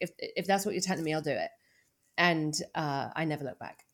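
With a British accent, a woman speaks at a fairly quick pace with ordinary pitch variation. The recording is very clean, with a silent background. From UK. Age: 50s. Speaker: sobriety coach and author. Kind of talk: interview conversation.

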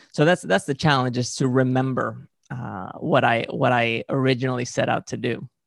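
Close and dry with no echo, a man with a Spanish accent speaks at a moderate pace and medium pitch, with ordinary pitch variation and hardly any pauses. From Spain (Valencia). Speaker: movement coach, former gymnast. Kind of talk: interview. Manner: halting, frequent uh fillers.

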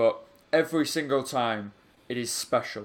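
With a Yorkshire accent, a man speaks at a fairly slow pace. His intonation stays fairly even. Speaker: football podcast co-host. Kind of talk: casual chat.

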